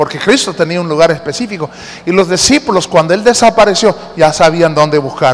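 Noticeable background noise surrounds a man with a high voice. His intonation is lively. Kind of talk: sermon. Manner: interactive and teacherly, coaxing the congregation to read the verses aloud with him; warm and earnest, with humor, slowing down to stress each point.

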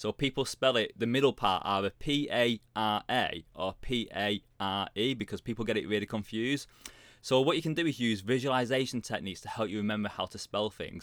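A man talks at a fairly quick pace with a British accent. The sound is dry and close, with no echo. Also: medium pitch for a man, ordinary pitch variation, very clean recording, silent background. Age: 40s. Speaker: career coach and author. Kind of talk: casual interview.

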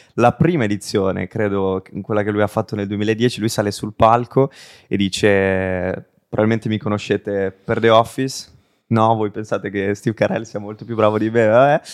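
A man's unremarkable speaking voice, fairly low in pitch with fairly even intonation, at a moderate pace, dry and close with no echo over a quiet background. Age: 20s. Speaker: podcast host. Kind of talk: casual interview; scripted intro.

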